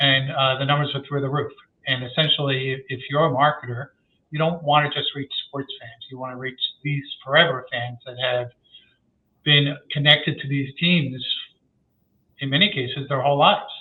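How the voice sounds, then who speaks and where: Talking in a New York accent, a man has a fairly high pitch, fairly even intonation and big swings in loudness. He keeps a moderate pace with long, frequent pauses. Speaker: sports marketing research executive. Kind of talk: podcast interview.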